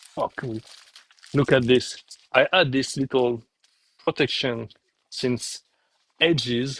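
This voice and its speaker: A man with a French accent talks at a medium pitch and a fairly slow pace, with fairly even intonation and a dry, close sound with no echo. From France. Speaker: game publisher. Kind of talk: live stream while packing orders. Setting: live stream, alone at work. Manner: casual, halting.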